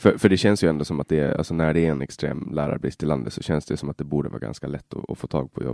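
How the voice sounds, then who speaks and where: A man with a very deep, low pitch and vocal fry rattles along very fast with hardly any pauses, his tone dark and mellow, his pitch variation ordinary, and the sound dry and close with no echo. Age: 20s. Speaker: podcast host. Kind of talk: interview. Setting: guest's office at city hall. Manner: halting.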